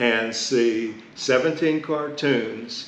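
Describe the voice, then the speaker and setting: With an American accent and fairly even intonation, a man speaks amid noticeable background noise and audible room echo. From Pittsburgh, Pennsylvania (Hill District). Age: 70s. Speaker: community elder and columnist. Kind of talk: oral history interview.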